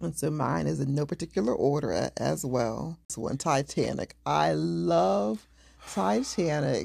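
Speaking at a fairly slow pace, a woman uses a very deep, low pitch and a dark, mellow tone, with vocal fry and very wide pitch swings. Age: 40s. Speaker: podcast co-host. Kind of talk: casual chat. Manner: laughs often.

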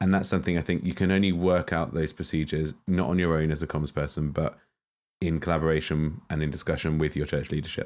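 At a very fast pace, a man speaks in a very deep, low pitch with monotone, flat intonation, on a very clean recording with a silent background. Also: very even loudness. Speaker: church communications podcast host. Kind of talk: casual advice podcast chat.

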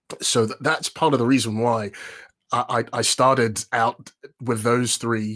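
A man is speaking. He has a London accent. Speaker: voiceover artist and presenter coach. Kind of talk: casual interview. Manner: energetic; upbeat.

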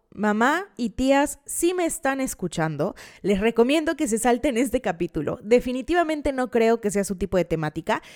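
A woman's high-pitched, animated voice with very wide pitch swings, a moderate pace and hardly any pauses, in a dry, close sound with no echo on a very clean recording with a silent background. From Veracruz, Mexico. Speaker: podcast host. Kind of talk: casual true-crime storytelling.

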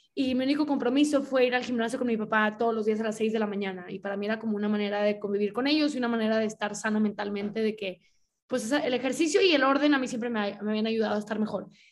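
A woman speaks very fast at a fairly high pitch. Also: ordinary pitch variation. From Mexico, Monterrey. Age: 20s. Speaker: podcast host, writer and illustrator. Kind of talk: casual chat.

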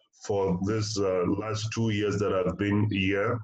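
A man talks at a fairly slow pace with a fairly low pitch. His intonation is monotone and flat, and there is noticeable background noise. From Africa. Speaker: missionary and podcast co-host. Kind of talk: casual chat.

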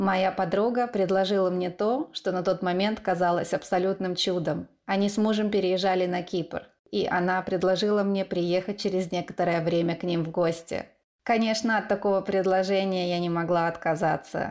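Monotone, flat-toned speech from a woman at medium pitch and moderate pace. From eastern Ukraine. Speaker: podcast host. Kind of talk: scripted narration.

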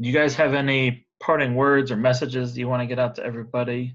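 In a plain, everyday voice, a man talks at a fairly quick pace with medium pitch against a quiet background. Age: 30s. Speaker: podcast host. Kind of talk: interview.

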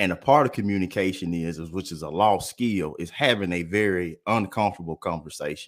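The speaker has a Mississippi accent and talks at a fairly quick pace with hardly any pauses. The pitch varies in an ordinary way, on a very clean recording with a silent background. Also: man, very deep, low pitch for a man. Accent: Southern US (Mississippi). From US South, Columbus, Mississippi. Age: 30s. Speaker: businessman. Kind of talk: casual chat.

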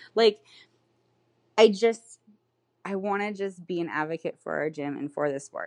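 With a plain, everyday voice and an American accent, a woman speaks at a moderate pace with lively intonation against a quiet background. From California. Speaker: bikini pro competitor and coach. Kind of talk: casual interview chat.

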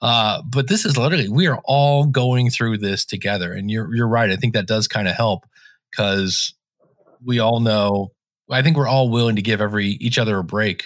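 This man has a normal speaking voice, pitched fairly low. He talks at a moderate pace with ordinary pitch variation. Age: 50s. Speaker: podcasting consultant and technical trainer. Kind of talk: casual chat. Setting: remote call.

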